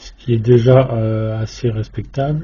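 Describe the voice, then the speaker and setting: Against noticeable background noise, a man with a medium-pitched voice talks very slowly with fairly even intonation. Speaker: electronics hobbyist YouTuber. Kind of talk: tutorial. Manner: monotone; hesitant, many filler sounds.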